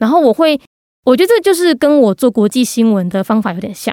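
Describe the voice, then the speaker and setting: Lively in intonation and high in pitch, a woman is heard with a dry, close sound with no echo. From Taiwan, Gangshan (Kaohsiung). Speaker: podcast host on international news. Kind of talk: interview.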